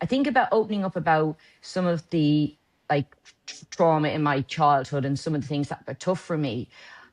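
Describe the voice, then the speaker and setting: A woman's very deep, low voice with a Dublin accent, a fairly quick pace, ordinary pitch variation and a dry, close sound with no echo. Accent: Dublin Irish. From Ireland, Dublin. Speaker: lawyer and company director. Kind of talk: interview.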